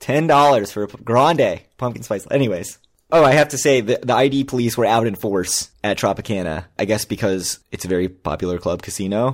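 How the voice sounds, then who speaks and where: A man talks at a fairly quick pace with hardly any pauses, in a plain, everyday voice. His pitch is medium and his intonation lively. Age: 40s. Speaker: podcast co-host. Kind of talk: casual chat.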